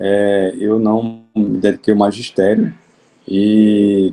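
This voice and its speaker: A man's fairly low voice with a dark, mellow tone. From Alagoas, Brazil. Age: 60s. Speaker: judge. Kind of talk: interview. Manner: halting.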